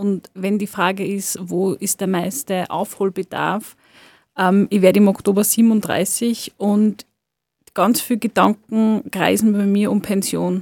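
This woman speaks at a very slow pace with a medium pitch and fairly even intonation. The recording is very clean, with a silent background and a dry, close sound with no echo. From Lower Austria, farm. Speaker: sociologist and cultural worker. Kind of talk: radio interview. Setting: studio.

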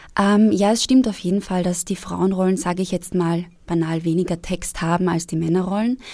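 The speaker talks at a fairly quick pace in a dark, mellow tone, on a very clean recording with a silent background. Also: woman, medium pitch for a woman, ordinary pitch variation. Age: 20s. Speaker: actress. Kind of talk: casual chat. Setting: studio.

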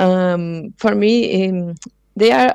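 With a Portuguese accent, a woman speaks with ordinary pitch variation. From Brazil, São Paulo. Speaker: multimedia artist and researcher. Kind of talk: interview. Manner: halting, many fillers.

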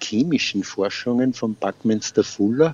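A man with an unremarkable speaking voice talks at a fairly slow pace. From Upper Austria, Freistadt. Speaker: retired gardener and beekeeper. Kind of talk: interview.

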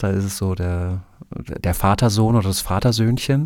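The voice is a normal speaking voice, moving at a moderate pace with ordinary pitch variation. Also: man. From Germany (Prussia/north-east). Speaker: book blogger. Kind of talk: interview.

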